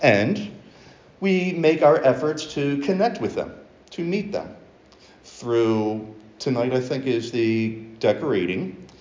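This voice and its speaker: With audible room echo, a man speaks at a very slow pace and leaves long, frequent pauses. His pitch is fairly high and swings very widely. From US, Baltimore. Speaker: preacher. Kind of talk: sermon.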